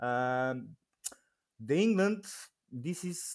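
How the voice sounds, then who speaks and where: A man with a Bulgarian accent speaks at a fairly high pitch with lively intonation. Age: 20s. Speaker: packing house supervisor. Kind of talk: casual interview.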